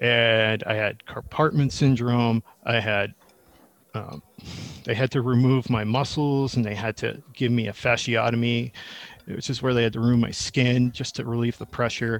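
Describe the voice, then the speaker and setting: In a very clean recording with a silent background, a man with an American accent speaks in a plain, everyday voice at a moderate pace, with medium pitch and fairly even intonation. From Massachusetts (Needham). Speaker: chef. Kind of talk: casual interview.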